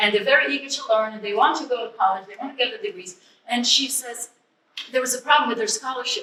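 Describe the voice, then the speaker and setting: Very fast speech in a non-native accent, with lively intonation and big swings in loudness. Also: woman, high pitch for a woman. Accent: foreign. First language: not English. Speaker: ESL educator. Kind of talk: public speech. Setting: museum event.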